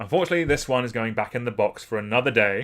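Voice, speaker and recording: This is a man speaking. His pitch is medium. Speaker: streamer. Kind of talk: live stream, casual commentary. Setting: live stream. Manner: halting.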